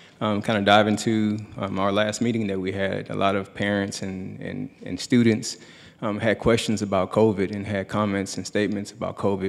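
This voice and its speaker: The voice belongs to a man and sits fairly low. Its intonation is monotone and flat. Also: moderate pace. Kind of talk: public forum address. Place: hall. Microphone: podium.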